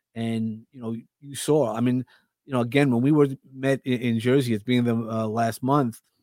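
A man with a New York accent, medium pitch and moderate pace. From Brooklyn, New York. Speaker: podcast host and speaker. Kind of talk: casual interview chat.

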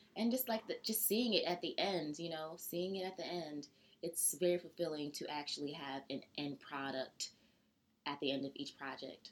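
A woman with a plain, everyday voice speaks in an American accent at a moderate pace. Her pitch is fairly low and her intonation lively. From US South, Georgia. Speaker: interior designer. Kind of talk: casual interview. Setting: in person, at her apartment.

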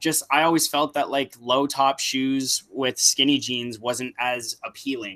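The sound is dry and close with no echo, with music in the background. Delivery is fairly slow, and the intonation stays fairly even. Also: man. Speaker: podcast co-host. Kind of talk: casual chat.

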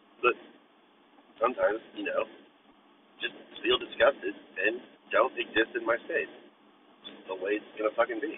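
A man's voice with long, frequent pauses, big swings in loudness, and noticeable background noise. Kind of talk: angry rant. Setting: in a car. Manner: loud, irritated, profanity-laden venting, fast and sarcastic; rambling, stream-of-consciousness.

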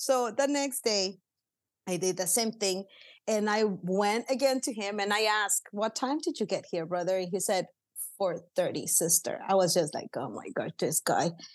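With a Spanish accent, a woman talks at a moderate pace in a medium pitch and lively intonation against a quiet background. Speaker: pastor. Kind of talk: casual interview, Spanish-English code-switching. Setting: office, remote recording.

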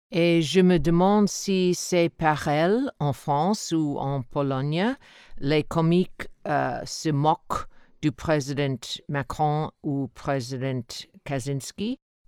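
A woman with an English accent speaks at a very slow pace with a very deep, low pitch, a dark, mellow tone and ordinary pitch variation, the very clean recording dry and close with no echo and a silent background. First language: English (speaking French). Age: 60s. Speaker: podcast listener, French learner. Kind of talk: recorded listener testimony.

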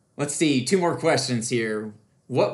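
At a moderate pace and medium pitch, a man uses an ordinary speaking voice with ordinary pitch variation. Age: 30s. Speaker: podcast host. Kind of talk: casual interview.

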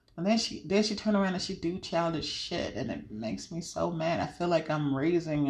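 A woman speaks in an animated tone, with audible room echo around her voice. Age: 30s. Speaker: podcast host. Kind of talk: casual chat.

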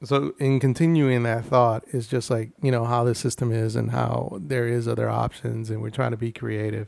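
A man with an American accent speaks in an unremarkable speaking voice at a medium pitch and moderate pace, with ordinary pitch variation and hardly any pauses. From Houston, Texas (Denver Harbor). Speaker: podcast co-host. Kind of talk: casual chat.

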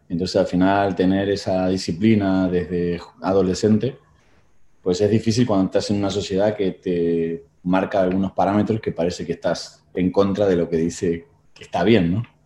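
The voice has a dark, mellow tone and monotone, flat intonation. It moves at a moderate pace against a quiet background. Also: man, very deep, low pitch for a man. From Argentina, Buenos Aires. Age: 40s. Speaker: rowing coach and former Olympic rower. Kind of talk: interview.

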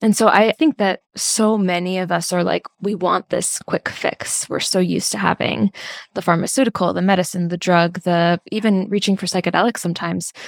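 In a very clean recording with a silent background and a dry, close sound with no echo, a woman with an ordinary speaking voice talks at a medium pitch and moderate pace, with fairly even intonation and hardly any pauses. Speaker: podcast host. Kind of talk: scripted intro then interview chat.

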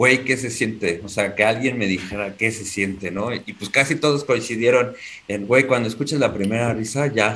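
A man speaks at a moderate pace. Noticeable background noise is present behind him. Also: medium pitch for a man, ordinary pitch variation. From Mexico City. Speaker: aspiring stand-up comedian. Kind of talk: casual chat.

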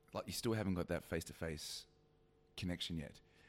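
A man's very deep, low voice with vocal fry, ordinary pitch variation, a very fast pace and an Australian accent. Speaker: podcast co-host, business content creator. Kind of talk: casual banter chat. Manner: teasing, playful, laughing.

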